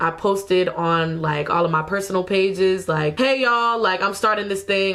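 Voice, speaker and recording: A woman with an American accent and an unremarkable speaking voice, medium in pitch, at a moderate pace. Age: 20s. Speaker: videographer and small business owner. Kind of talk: casual talk to camera.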